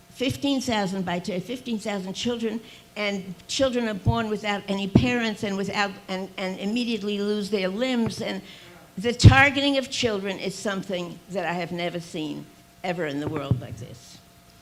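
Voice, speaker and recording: Over noticeable background noise, a woman with a medium pitch talks at a moderate pace, using lively intonation and big swings in loudness. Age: 80s+. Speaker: activist speaker. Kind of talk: rally speech. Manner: impassioned, repetitive.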